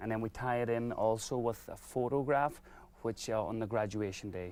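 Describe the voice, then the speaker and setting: With fairly even intonation and a medium pitch, a man speaks at a moderate pace. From Ireland. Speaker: business owner. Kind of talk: TV interview.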